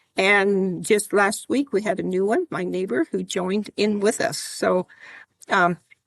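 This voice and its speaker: Recorded dry and close with no echo, a woman with an American accent speaks at medium pitch and a moderate pace, with vocal fry. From US Mountain West, northeastern Wyoming. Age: 80s+. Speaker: environmental volunteer. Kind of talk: interview.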